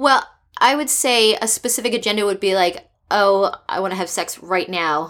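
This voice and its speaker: A woman with an American accent and a plain, everyday voice speaks at medium pitch and a moderate pace with lively intonation, on a very clean recording with a silent background. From US East Coast. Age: 30s. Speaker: startup founder. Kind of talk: casual interview.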